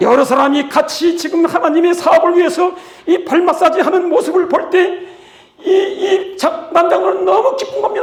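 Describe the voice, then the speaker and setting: Speaking at a moderate pace, a man uses an extremely high pitch and lively intonation. Noticeable background noise and audible room echo are present. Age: 80s+. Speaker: pastor and missionary. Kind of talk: sermon-style testimony. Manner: animated.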